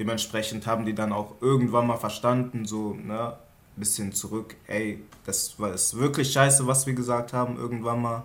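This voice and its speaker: Keeping a moderate pace, a man speaks with monotone, flat intonation. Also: medium pitch for a man. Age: 20s. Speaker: trainee industrial clerk. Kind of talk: casual chat.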